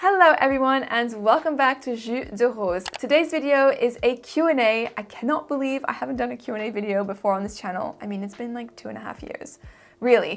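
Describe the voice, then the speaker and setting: A woman's high-pitched voice with an American accent, fairly quick, lively in intonation and big swings in loudness. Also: hardly any pauses. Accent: American-sounding English. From Switzerland (French-speaking) and Singapore. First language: French. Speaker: fragrance YouTuber. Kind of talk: casual Q&A.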